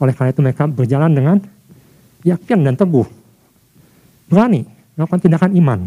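A man with a fairly high pitch and a dark, mellow tone, talking at a very fast pace with lively intonation, long, frequent pauses and very even loudness, in a dry, close sound with no echo. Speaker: preacher. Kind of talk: sermon. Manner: formal; earnest, driven, preacher in full flow.

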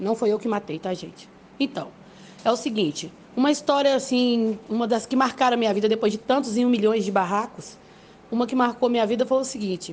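A fairly high-pitched woman at a fairly quick pace, with ordinary pitch variation. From Brazil, Belo Horizonte. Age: 30s. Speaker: listener sending a voice message. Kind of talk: personal story, voice message. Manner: animated, laughing while telling.

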